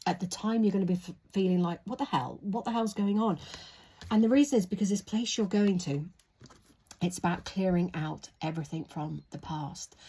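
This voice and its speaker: This woman speaks at a moderate pace with a medium pitch, ordinary pitch variation, and a dark, mellow, somewhat breathy tone. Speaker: tarot reader. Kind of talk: tarot reading. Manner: soft-spoken.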